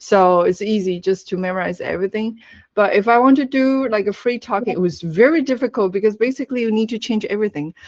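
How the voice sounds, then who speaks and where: Over a quiet background, a woman with a fairly high pitch talks at a very fast pace with ordinary pitch variation. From Taiwan. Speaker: language teacher. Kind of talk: webinar talk.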